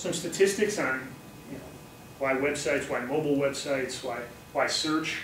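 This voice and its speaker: This man's voice sits at a fairly high pitch. Audible room echo and noticeable background noise surround it. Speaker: marketing lecturer. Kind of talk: lecture.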